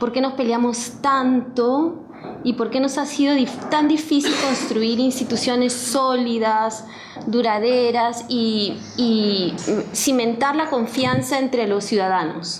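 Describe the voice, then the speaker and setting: A woman's high voice at a very slow pace, with ordinary pitch variation and very even loudness, amid audible room echo and noticeable background noise. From Peru. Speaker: historian, professor. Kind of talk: book presentation talk. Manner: reading from notes with fillers.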